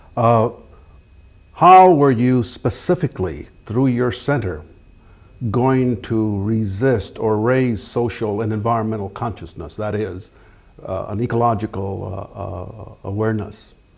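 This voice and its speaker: A man with an American accent speaks at a fairly slow pace. His pitch is medium, with ordinary variation. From Kansas City. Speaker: artist and interviewer. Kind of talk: interview. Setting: home. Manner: halting.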